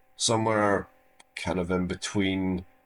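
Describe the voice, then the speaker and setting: A man with an Irish accent speaks very slowly at a very deep, low pitch in a monotone, flat intonation, in a very clean recording with a silent background. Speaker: YouTube video essayist. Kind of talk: casual outro to viewers; video essay commentary.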